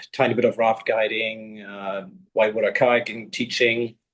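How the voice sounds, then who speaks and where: With a German accent, a man talks at a fairly slow pace in a medium pitch and a monotone, flat intonation. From Germany. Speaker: long distance kayaker. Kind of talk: interview. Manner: halting.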